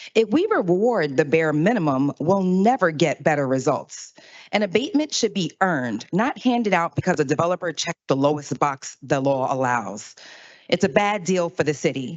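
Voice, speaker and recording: A woman talks at a moderate pace with a fairly low pitch. Her pitch swings very widely. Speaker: public commenter, council office staffer. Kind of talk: public comment speech. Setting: city council meeting.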